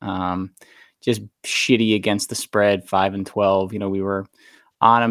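Here a man speaks at a fairly low pitch in a monotone, flat intonation. The recording is very clean and dry, close with no echo, over a silent background. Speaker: podcast co-host, football bettor. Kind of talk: casual sports betting chat.

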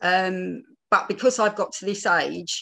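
A woman speaks with an East London accent. Her pace is fairly slow. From East End of London. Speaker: theatre producer and panel speaker. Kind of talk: personal talk at online panel. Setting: video call.

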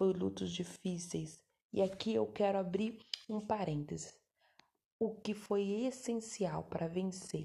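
A woman speaks at a fairly slow pace in a medium pitch. Her tone is dark and mellow, and somewhat breathy. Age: 30s. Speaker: podcast host, adoptive mother. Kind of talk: personal testimony. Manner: halting, self-correcting.

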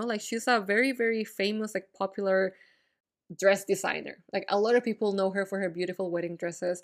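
The clip, a very clean recording over a silent background, carries an ordinary speaking voice with ordinary pitch variation. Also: woman. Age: 20s. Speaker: podcast host. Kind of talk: casual solo monologue. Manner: casual, frequent fillers and laughs.

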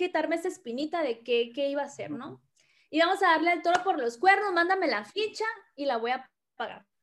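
A woman's extremely high voice at a fairly quick pace, with lively intonation. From Mexico, Tabasco. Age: 30s. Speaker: network marketing leader. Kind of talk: interview, personal story. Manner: chatty, fast.

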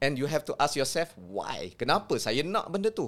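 Fairly high for a man, this voice swings very widely in pitch at a fairly slow pace. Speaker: sports psychology lecturer. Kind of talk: explanatory discussion.

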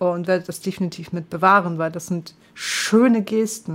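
The woman's voice sits at a medium pitch as she talks at a moderate pace. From northern Germany. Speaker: gaming streamer. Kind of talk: casual chat.

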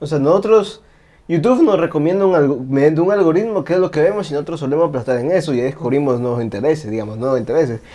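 A man's fairly high, dark, mellow voice at a very fast pace with lively intonation. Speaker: podcast host. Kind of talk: casual chat.

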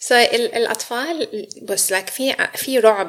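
A woman speaks over noticeable background noise. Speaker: psychological counsellor. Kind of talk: interview. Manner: frequent English code-switching.

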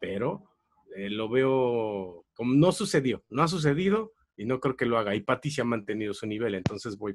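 A man with a Mexican accent, lively intonation and big swings in loudness, in a dry, close sound with no echo. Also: medium pitch for a man, moderate pace. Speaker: comedy tournament analyst. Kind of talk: casual chat.

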